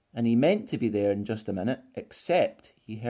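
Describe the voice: Someone reads the text aloud plainly. Their intonation moves in a lively way.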